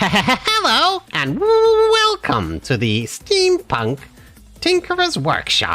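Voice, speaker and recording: Delivered at a very slow pace, a put-on character voice at an extremely high pitch is heard over faint music in the background. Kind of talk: announcement greeting. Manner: glitchy, malfunctioning.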